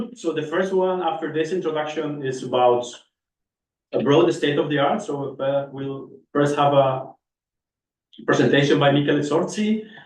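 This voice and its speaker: At a moderate pace and with long, frequent pauses, a man with a fairly high pitch speaks with ordinary pitch variation in a room with audible echo. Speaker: session chair at a research workshop. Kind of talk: conference session introduction.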